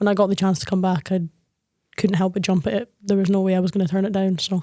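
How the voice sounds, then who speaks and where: Very fast and very even in loudness, a woman speaks in a dark, mellow tone with fairly even intonation. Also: medium pitch for a woman. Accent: northeast Scottish. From Scotland. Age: 20s. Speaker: women's football team captain. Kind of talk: podcast interview.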